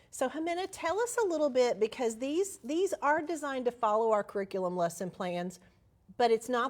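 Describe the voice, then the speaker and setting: This woman talks with a Southern US accent, her pitch swinging very widely. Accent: Southern American. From US South, Alabama. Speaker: managing editor, presenter. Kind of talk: educational webinar discussion.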